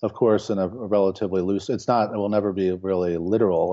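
With an American accent, a man talks at a fairly quick pace. His pitch is very deep and low. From Baltimore, Maryland, US. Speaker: painter. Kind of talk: interview. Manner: halting, many fillers and repetitions.

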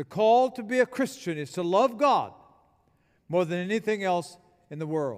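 Pausing long and often, a man speaks at a high pitch with lively intonation. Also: moderate pace. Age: 70s. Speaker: retired pastor, guest preacher. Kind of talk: sermon. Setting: church.

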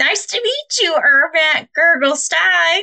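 This is a put-on character voice, squeaky and high-pitched. It moves at a fairly slow pace. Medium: actual play. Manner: warm, bubbly.

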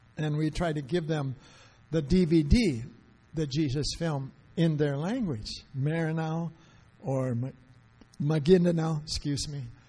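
In a dark, mellow tone, the speaker talks at a very slow pace with long, frequent pauses and ordinary pitch variation. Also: man, fairly high pitch for a man. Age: 70s. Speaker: missionary evangelist. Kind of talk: sermon. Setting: church.

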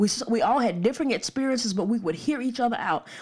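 Lively intonation marks this woman's very fast speech in an Alabama accent. Her pitch is high, and the recording is very clean with a silent background. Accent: US Southern (Alabama). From Alabama, Birmingham suburbs. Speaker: pastor and podcast host. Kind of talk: podcast sermon / teaching monologue.

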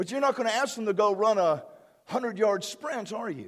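The delivery is fairly quick, with an animated tone and ordinary pitch variation. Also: man. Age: 50s. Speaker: pastor. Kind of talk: sermon.

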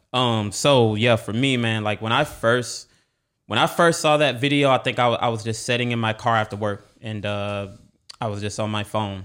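A man's plain, everyday voice with an American accent, on a very clean recording with a silent background. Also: medium pitch for a man, ordinary pitch variation, moderate pace. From Texas. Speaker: church member. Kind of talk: casual conversational interview.

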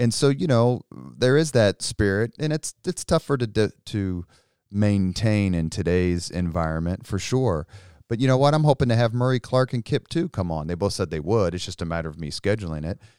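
A man with a Midwestern American accent, fairly low pitch and very wide pitch swings at a moderate pace, in a very clean recording with a silent background and a dry, close sound with no echo. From Indianapolis, Indiana. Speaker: political communications consultant and army veteran. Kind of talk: casual interview.

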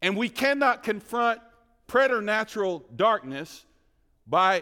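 Raising and projecting his voice, a man with a Southern US accent and a high pitch speaks at a fairly slow pace. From US South, rural North Carolina. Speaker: guest preacher. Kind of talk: sermon. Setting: church with congregation. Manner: animated.

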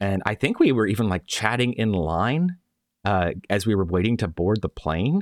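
Very clean recording, silent background, and a dry, close sound with no echo carry a man's fairly low voice at a moderate pace. He has an ordinary speaking voice with lively intonation. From Florida, US. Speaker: podcast host. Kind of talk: casual chat.

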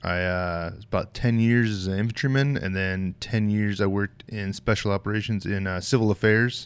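A man with an American accent speaks in an unremarkable speaking voice at fairly low pitch, keeping a moderate pace, fairly even intonation and hardly any pauses on a very clean recording with a silent background. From US West, southwest Colorado. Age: 40s. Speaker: knife maker and military veteran. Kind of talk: casual interview.

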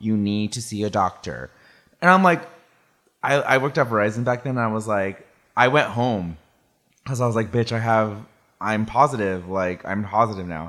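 A man with an American accent speaks at a moderate pace with lively intonation and long, frequent pauses. The recording is very clean, with a silent background. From California (Salinas). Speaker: photographer. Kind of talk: casual chat.

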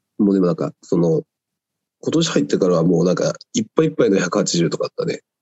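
This man talks at a very fast pace, his fairly low voice swinging very widely in pitch. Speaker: weightlifter. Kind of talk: casual chat.

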